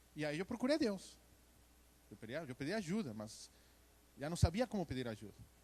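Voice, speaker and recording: With a Mexican accent, a man speaks at a fairly quick pace and a fairly high pitch, using very wide pitch swings and long, frequent pauses. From Mexico. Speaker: church member giving testimony. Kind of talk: testimony. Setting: church service.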